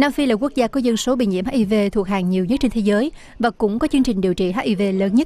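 The voice moves at a fast pace with a dark, mellow tone and ordinary pitch variation. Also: woman, fairly high pitch for a woman.

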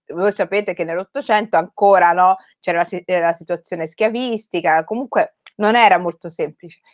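There is a quiet background as a woman speaks at a moderate pace with ordinary pitch variation. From Rome, Italy (Somali heritage). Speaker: writer. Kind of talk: talk to school students. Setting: video call. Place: home room. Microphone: headset.

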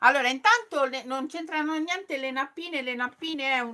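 The voice is raised and projected, with an animated tone and ordinary pitch variation. It moves at a fairly quick pace. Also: woman. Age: 50s. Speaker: sewing youtuber; sewing channel host. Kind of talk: live stream chat. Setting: live stream. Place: home room. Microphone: phone near.

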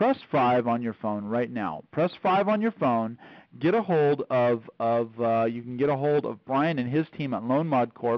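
In a dry sound with no echo and a quiet background, a man speaks at a fairly slow pace with lively intonation. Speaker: call host. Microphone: phone line.

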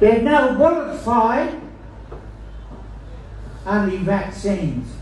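With lively intonation at a very slow pace, the voice carries an audible room echo over light background noise. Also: man, high pitch for a man. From Australia. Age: old. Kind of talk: speech to a rally crowd. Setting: outdoors. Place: street.

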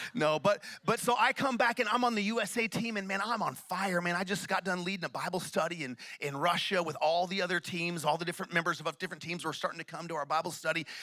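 Over a quiet background, a man talks at a very fast pace in an American accent, his pitch high with ordinary variation and his tone animated. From Oklahoma (Tulsa); Oklahoma. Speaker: pastor. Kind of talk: sermon. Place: church. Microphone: handheld.

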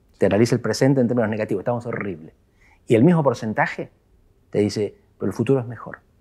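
The man's voice is medium-pitched with a dark, mellow tone. He talks at a very fast pace over a quiet background. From Argentina. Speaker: political scientist; guest. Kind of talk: interview. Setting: office. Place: studio. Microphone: lapel.

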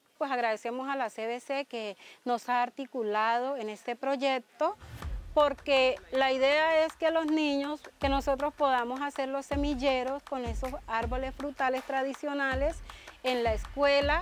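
A woman talks in a high pitch at a fairly slow pace with fairly even intonation. Light background noise can be heard. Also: dry sound with no echo. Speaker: school teacher. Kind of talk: interview answer. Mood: grateful, warm. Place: garden. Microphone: lapel.

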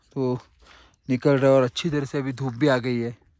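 Over music in the background, a man speaks in a monotone, flat intonation with a dry sound and no echo. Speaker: travel vlogger. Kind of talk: casual vlog chat. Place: open country. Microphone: phone near.

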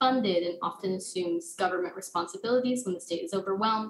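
A woman's somewhat breathy voice with an American accent, fairly quick in pace and fairly even in intonation. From Texas, El Paso; Texas. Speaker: university student, fellowship presenter; presenter. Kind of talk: academic presentation. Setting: remote video call. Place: home room. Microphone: webcam.

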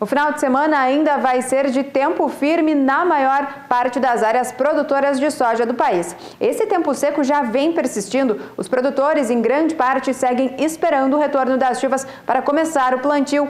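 Her loudness very even, a woman speaks at a moderate pace with a high pitch and ordinary pitch variation amid audible room echo. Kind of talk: weather forecast presentation. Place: studio. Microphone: lapel.

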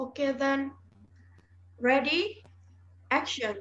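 A woman's put-on character voice, high-pitched and fairly bright in tone, at a very slow pace with ordinary pitch variation.

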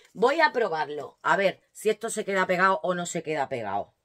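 A woman's animated voice has a bright, sharp tone and very wide pitch swings. She keeps a moderate pace against a quiet background. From Spain. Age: 40s. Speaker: lifestyle vlogger. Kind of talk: casual unboxing vlog. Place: home room. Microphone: phone near.

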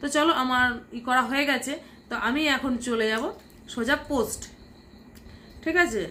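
This raised, projected voice has a bright, sharp tone and ordinary pitch variation. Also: woman, high pitch for a woman. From West Bengal, India (Nadia). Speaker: vlogger. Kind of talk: tutorial. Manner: casual, chatty.

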